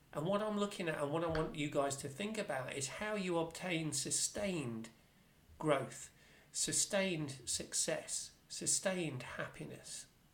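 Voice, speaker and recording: With noticeable noise behind it, the talking proceeds fairly slowly. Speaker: life coach. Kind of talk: motivational live stream talk. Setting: social media live stream. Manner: casual, with frequent repetitions and fillers.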